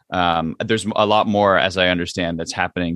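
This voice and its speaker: A man with a New Jersey accent and a very deep, low pitch speaks with fairly even intonation, his sound dry and close with no echo over a quiet background. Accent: American, New Jersey. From central New Jersey, US. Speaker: Broadway actor and singer. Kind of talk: interview. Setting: in theater dressing room. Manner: halting, many fillers.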